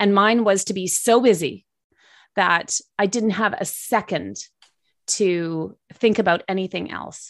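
Against a quiet background, a woman with a Canadian accent talks at a fairly slow pace. She has a plain, everyday voice, a medium pitch and fairly even intonation. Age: 50s. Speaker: former TV news broadcaster and health advocate. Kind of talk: casual interview.

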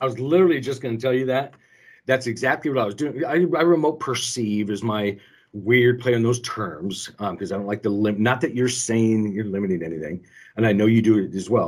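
Recorded very cleanly against a silent background, a man with a normal speaking voice talks at a medium pitch. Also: lively intonation. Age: 50s. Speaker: shop owner and co-host. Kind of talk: casual chat.

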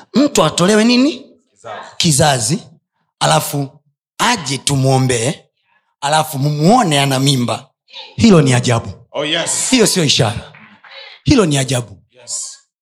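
Animated in tone, a man talks at a fairly slow pace with a fairly high pitch, very wide pitch swings and a somewhat breathy sound. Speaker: pastor. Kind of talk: sermon.

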